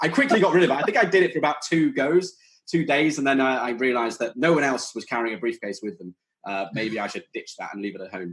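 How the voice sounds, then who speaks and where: A man with a British accent talks at a very fast pace. His fairly high voice makes very wide pitch swings. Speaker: startup founder. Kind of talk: podcast interview.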